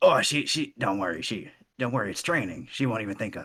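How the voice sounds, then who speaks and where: A man's put-on character voice at medium pitch and a very fast pace. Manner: menacing, wicked.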